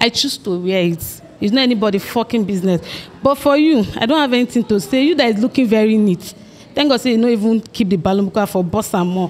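Amid light background noise, a woman talks at a very fast pace in a fairly high pitch, with lively intonation and very even loudness. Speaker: dating show contestant. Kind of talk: casual chat. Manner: blunt. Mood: confrontational, dismissive. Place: hall. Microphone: handheld.

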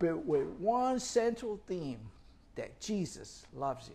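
The man's pitch swings very widely as he talks. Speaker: ministry preacher. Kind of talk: sermon. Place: home room. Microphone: lapel.

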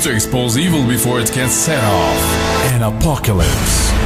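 The speaker is a man. Behind him, clear music plays. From Lebanon. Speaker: voice actor. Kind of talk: book trailer. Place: studio.

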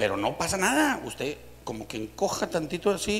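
A man's delivery has lively intonation and moves at a moderate pace. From Mexico. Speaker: comedian. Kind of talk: stand-up joke telling. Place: studio. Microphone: handheld.

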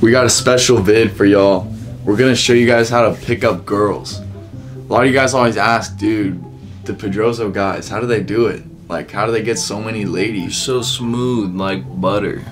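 Faint music plays in the background as a man with a fairly low voice speaks at a moderate pace, his pitch varying in an ordinary way. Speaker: video host. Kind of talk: casual comedy vlog chat. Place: home room. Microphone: camera far.

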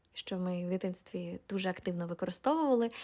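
On a very clean recording with a silent background, a woman's voice is heard. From Ukraine, Volyn region. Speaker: video blogger. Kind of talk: personal monologue.

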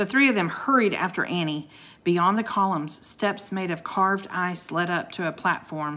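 Pitch varies in an ordinary way during plain reading aloud.

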